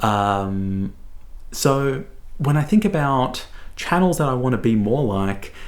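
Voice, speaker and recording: A man in an Australian accent, medium pitch, very wide pitch swings and a very slow pace, with audible room echo. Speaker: book reviewer. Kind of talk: casual monologue. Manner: hesitant, many fillers.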